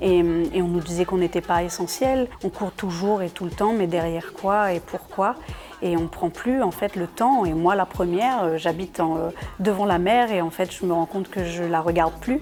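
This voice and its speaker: Over music in the background, a woman speaks at a moderate pace. Her voice is fairly low, with ordinary pitch variation. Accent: Réunion. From Réunion. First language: Réunion Creole (speaking French). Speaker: singer. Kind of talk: interview. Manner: halting, many repetitions and hesitations.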